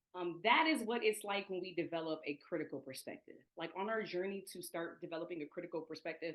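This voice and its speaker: At a fairly quick pace, the speaker has an American accent and ordinary pitch variation. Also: woman. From US Midwest, Toledo, Ohio. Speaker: education equity trainer. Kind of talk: online presentation. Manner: fast.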